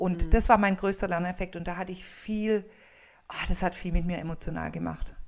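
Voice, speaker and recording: In a flat monotone and at medium pitch, a woman speaks at a fairly quick pace. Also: big swings in loudness. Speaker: funeral speaker and coach. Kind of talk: casual chat.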